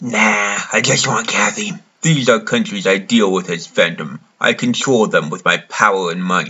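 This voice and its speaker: A man does a put-on character voice at a fairly low pitch, speaking at a moderate pace. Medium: voice reel. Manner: smug.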